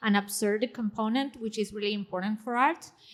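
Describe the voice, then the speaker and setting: Her voice is fairly high in pitch and bright and sharp in tone, and this woman uses ordinary pitch variation. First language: not English. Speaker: panelist, technologist and writer. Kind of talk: panel discussion. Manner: hesitant, many fillers.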